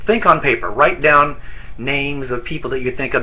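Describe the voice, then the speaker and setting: A fairly quick pace amid audible room echo and noticeable background noise. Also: man. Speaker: distributor trainer. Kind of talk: training presentation. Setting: online broadcast from an office. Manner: fast.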